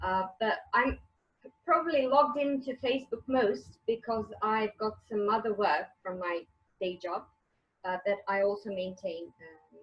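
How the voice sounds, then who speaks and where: With music in the background, a woman with a Croatian accent speaks fairly slowly with lively intonation and big swings in loudness. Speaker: author and English teacher. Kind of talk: interview. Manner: halting.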